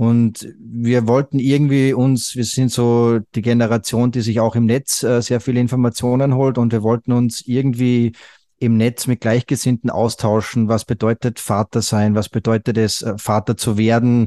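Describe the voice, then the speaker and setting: A man's dark, mellow voice at a medium pitch and moderate pace, flat and monotone with very even loudness, dry and close with no echo against a quiet background. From Austria, Salzburg. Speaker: founder of a fathers' online community. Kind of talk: interview.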